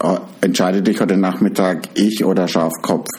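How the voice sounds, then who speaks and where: Against noticeable background noise, a man talks with a very deep, low pitch. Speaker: podcast co-host. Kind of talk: casual chat. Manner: animated.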